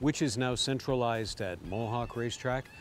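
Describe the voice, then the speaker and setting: With noticeable background noise, a man speaks at a moderate pace. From Canada. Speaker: harness race caller. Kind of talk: interview answer.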